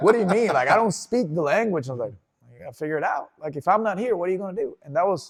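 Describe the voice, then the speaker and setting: Speaking with a Spanish accent, a man talks at a very fast pace in a high pitch. His intonation is lively, with big swings in loudness. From Venezuela, Caracas. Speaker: interview guest. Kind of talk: casual interview.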